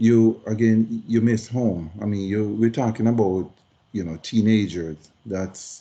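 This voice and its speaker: The voice has a dark, mellow tone. It moves at a fairly slow pace with fairly even intonation. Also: man, fairly low pitch for a man. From Jamaica. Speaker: retired Air Force senior enlisted veteran. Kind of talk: interview.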